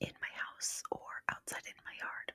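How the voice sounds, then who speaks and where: A woman whispers. The sound is dry and close, with no echo. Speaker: podcast host. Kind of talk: ASMR whispered ramble, casual talk to camera. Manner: whispery, rambling, soft.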